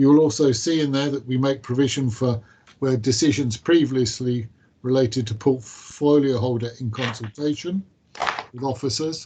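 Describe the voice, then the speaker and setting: A man with a plain, everyday voice talks at a moderate pace and medium pitch with fairly even intonation. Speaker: council officer. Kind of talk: committee meeting briefing. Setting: council committee meeting. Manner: formal.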